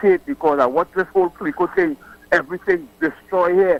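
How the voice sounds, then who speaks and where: In a Trinidadian accent, a man speaks with high pitch and ordinary pitch variation, the sound dry and close with no echo. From Trinidad and Tobago. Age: 60s. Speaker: caller. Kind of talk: political call-in. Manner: animated.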